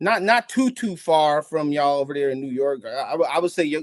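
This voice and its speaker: A man's ordinary speaking voice, fairly high in pitch, at a moderate pace, dry and close with no echo over a quiet background. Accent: American. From Gary, Indiana, Midwest US. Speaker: podcast guest, sneaker collector. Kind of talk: casual interview chat.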